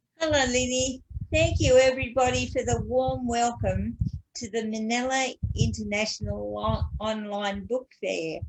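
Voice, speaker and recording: This woman has an Australian accent. She speaks at a fairly slow pace. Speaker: author. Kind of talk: prepared talk. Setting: video call. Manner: slow, deliberate speech.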